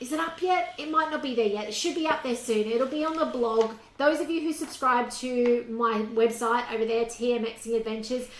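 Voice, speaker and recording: Over noticeable background noise, a high-pitched woman with an Australian accent talks at a fairly quick pace with hardly any pauses. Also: ordinary pitch variation. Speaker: cooking demonstrator. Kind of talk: cooking tutorial. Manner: quiet; casual, chatty.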